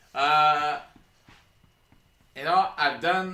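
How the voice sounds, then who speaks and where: Noticeable background noise and audible room echo surround a man speaking with an American accent. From Oregon. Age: 30s. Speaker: educator and coach. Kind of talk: casual chat. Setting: live stream.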